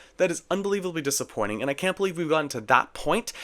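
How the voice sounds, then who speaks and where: A man talking at a very fast pace. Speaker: gaming YouTuber. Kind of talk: video essay commentary. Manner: animated.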